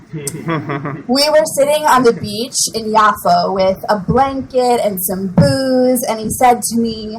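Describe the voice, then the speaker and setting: A woman talks at a very slow pace with hardly any pauses and very wide pitch swings. Noticeable background noise runs behind her. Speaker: slam poet. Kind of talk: spoken word poetry performance.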